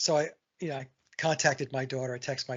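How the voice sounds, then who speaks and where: This man talks at a very fast pace in a medium-pitched, somewhat breathy voice with ordinary pitch variation. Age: 60s. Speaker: songwriter and guitarist. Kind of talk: casual chat. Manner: halting.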